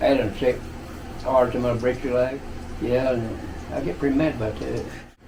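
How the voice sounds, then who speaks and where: In an Appalachian accent, a man speaks at a medium pitch. His intonation stays fairly even amid noticeable background noise. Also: moderate pace. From Eastern Kentucky, Appalachia. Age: 80s+. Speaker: retired coal miner. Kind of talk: interview answer.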